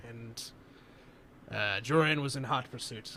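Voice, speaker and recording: A man puts on a character voice at a medium pitch, speaking at a fairly slow pace. Background noise is clearly audible. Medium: actual play. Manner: dry, haughty.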